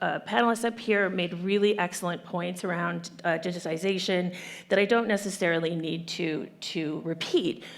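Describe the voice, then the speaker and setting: With hardly any pauses, a medium-pitched woman speaks amid audible room echo. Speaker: human rights organization director. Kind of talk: panel discussion. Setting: conference stage with audience. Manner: fast; animated.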